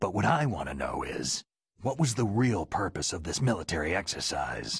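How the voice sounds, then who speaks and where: Using a put-on character voice, a man speaks at a fairly low pitch with very wide pitch swings. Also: moderate pace. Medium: video game. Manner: terse, understated.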